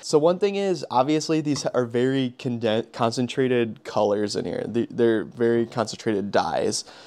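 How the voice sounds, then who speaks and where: A man's speech, with ordinary pitch variation, moves at a moderate pace. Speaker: car detailing creator. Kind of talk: casual product talk. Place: home room. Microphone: lapel.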